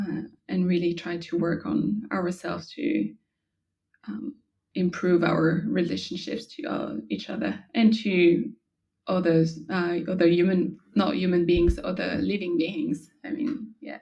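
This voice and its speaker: A woman with a French accent speaks at a fairly slow pace in a fairly low, dark and mellow voice with vocal fry and very wide pitch swings. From France. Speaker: yoga instructor. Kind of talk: interview. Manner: halting.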